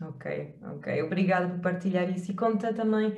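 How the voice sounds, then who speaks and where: A woman with a European Portuguese accent at a fairly slow pace, with audible room echo and a quiet background. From Portugal. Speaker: hypnotherapist and wellbeing coach; wellbeing coach. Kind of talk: interview. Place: home room. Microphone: webcam.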